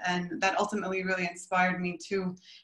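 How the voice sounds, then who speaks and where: A woman with an American accent talks at a very fast pace. Room echo is audible against a quiet background. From US, Brooklyn area; New York. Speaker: artist. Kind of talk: presentation. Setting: video call. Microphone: video call.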